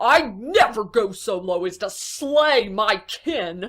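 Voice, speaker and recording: A female-sounding, put-on character voice comes through at a fairly high pitch. The pace is very slow. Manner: cool, mocking.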